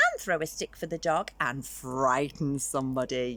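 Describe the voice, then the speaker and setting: A female-sounding put-on character voice speaks at a very deep, low pitch and a moderate pace. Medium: read story.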